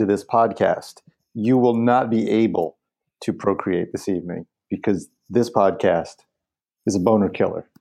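A man's dark, mellow tone stands against a quiet background. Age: 40s. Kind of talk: casual chat.

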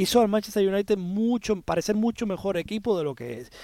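Delivered at a very fast pace with lively intonation, the speech has a dry, close sound with no echo on a very clean recording with a silent background. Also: man. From Spanish-speaking Caribbean. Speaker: football pundit. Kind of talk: sports analysis chat.

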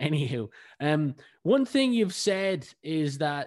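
With a Northside Dublin accent, a man speaks at a fairly high pitch with lively intonation against a quiet background. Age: 20s. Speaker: podcast host. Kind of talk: interview.

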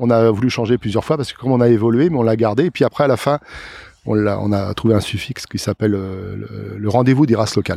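Dark and mellow in tone, a man's medium-pitched voice moves at a very fast pace with ordinary pitch variation. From Loire-Atlantique, France (Plessé). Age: 60s. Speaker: farmer. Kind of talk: casual interview. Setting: outdoors in a field.

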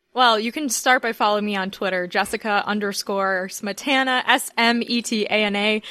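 In an American accent, a woman speaks at a moderate pace with hardly any pauses, her fairly high voice bright and sharp, her intonation fairly even, over a quiet background. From Miami, US. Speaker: journalist and podcast presenter. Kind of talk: casual chat.

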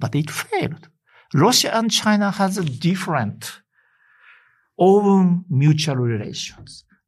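A man talks at a very slow pace, with long, frequent pauses and a high pitch. His intonation is lively, and the recording is very clean with a silent background. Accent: Japanese. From Japan, Hokkaido. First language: Japanese. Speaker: professor of Russian foreign policy. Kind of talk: interview. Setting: studio. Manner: halting.

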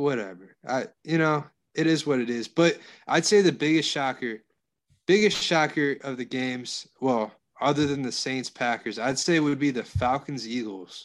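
A man's normal speaking voice, fairly high in pitch, with ordinary pitch variation, a moderate pace and a quiet background. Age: 40s. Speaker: sports betting podcast co-host. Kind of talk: casual chat.

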